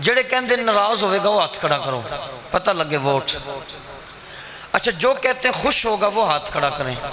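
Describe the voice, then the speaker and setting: With noticeable background noise, a man with a high pitch uses a raised, projected voice, swinging very widely in pitch at a fairly slow pace with long, frequent pauses. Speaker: Islamic cleric. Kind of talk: religious speech. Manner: animated.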